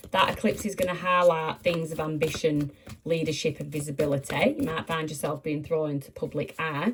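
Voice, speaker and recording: At a fairly quick pace, a woman talks with a very deep, low pitch and ordinary pitch variation. Noticeable background noise can be heard. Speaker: tarot reader. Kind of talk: tarot reading. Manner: animated.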